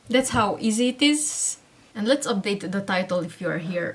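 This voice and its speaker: A woman speaks with lively intonation in a Hungarian accent. Noticeable background noise can be heard. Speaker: online seller and tutorial creator. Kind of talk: tutorial.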